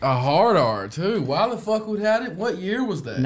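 A moderate pace in a Southern US accent, with very wide pitch swings over noticeable background noise. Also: man, high pitch for a man. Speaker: podcast co-host. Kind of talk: casual, profane.

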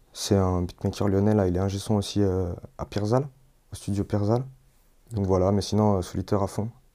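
A man with a fairly low pitch and dark, mellow tone speaks at a fairly quick pace in a monotone, flat intonation, broken by long, frequent pauses. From Lyon area, France (Villeurbanne). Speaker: rapper and sound engineer. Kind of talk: interview. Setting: home studio. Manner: casual, hesitant with fillers.

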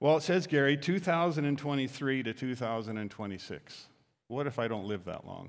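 Talking at a fairly quick pace, a man uses a normal speaking voice at medium pitch with lively intonation. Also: very clean recording, silent background. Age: 60s. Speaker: pastor. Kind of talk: sermon. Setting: church.

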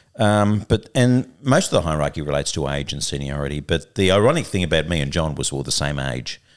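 Speaking with an Australian accent, a man keeps a fairly quick pace. His intonation is lively. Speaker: liver doctor and podcast host. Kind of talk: casual conversational podcast.

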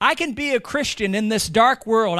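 A man with an American accent speaks in a raised, projected voice. His pitch is high and his tone bright and sharp. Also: very clean recording, silent background. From United States. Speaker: pastor. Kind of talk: sermon.

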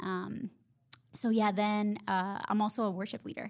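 In a very clean recording with a silent background, a woman with a Honduran accent speaks at a medium pitch. Her pace is fairly slow and her intonation fairly even. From Honduras. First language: Spanish. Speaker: podcast co-host. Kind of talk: casual chat, podcast intro.

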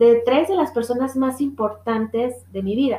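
Her tone dark and mellow, a woman speaks at a high pitch with ordinary pitch variation. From Mexico, Guadalajara. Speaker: podcast host. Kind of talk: casual monologue. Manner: laughs often.

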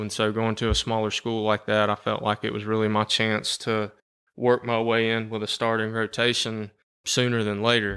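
Bright and sharp in tone, a man with a Southern US accent talks at a medium pitch and a moderate pace. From US South, Georgia (Cherokee County). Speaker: special education teacher and coach. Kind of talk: casual interview.

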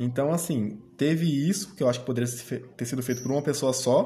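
A fairly quick, somewhat breathy man with a dark, mellow tone, fairly high pitch and ordinary pitch variation. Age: 20s. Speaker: interviewee, former young apprentice. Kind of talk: interview. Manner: hesitant, many fillers.

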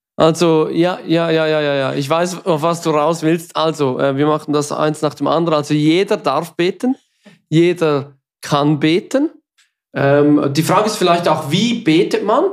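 The speaker has a Swiss German accent. The pace is fairly slow. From Switzerland. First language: Swiss German (speaking German). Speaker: podcast co-host. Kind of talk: casual chat.

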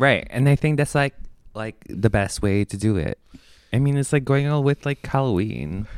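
A man talks at a moderate pace in a normal speaking voice, with ordinary pitch variation. The recording is very clean with a silent background, and the sound is dry and close with no echo. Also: medium pitch for a man. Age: 20s. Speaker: podcast co-host. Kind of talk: casual chat. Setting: drinking wine while recording.

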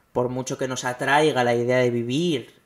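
A man with an ordinary speaking voice, medium pitch and fairly even intonation. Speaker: podcast host. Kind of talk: monologue commentary.

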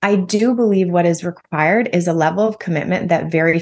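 A woman with a Canadian accent and a fairly low pitch talks at a fairly quick pace with ordinary pitch variation. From Canada, Ontario near Toronto. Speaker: wealth coach. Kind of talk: interview conversation.

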